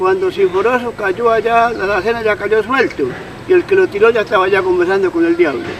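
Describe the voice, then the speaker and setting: Noticeable background noise sits behind a man with a high pitch. He talks at a fairly quick pace with ordinary pitch variation. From Colombia, Patía valley (Cauca). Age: 70s. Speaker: elderly local storyteller. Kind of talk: interview testimony. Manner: halting.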